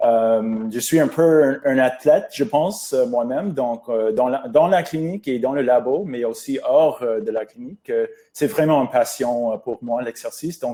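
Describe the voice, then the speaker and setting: A man with an English-Canadian accent speaks at a fairly high pitch and a fairly slow pace, with lively intonation and hardly any pauses. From English Canada. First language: English (speaking French). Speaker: pulmonologist. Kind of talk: webinar presentation. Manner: halting, many hesitations.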